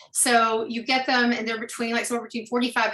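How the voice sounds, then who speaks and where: A woman with an American accent speaks in a bright, sharp tone at a fairly high pitch. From Alabama, US South. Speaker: storytelling producer and artistic director. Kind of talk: podcast interview.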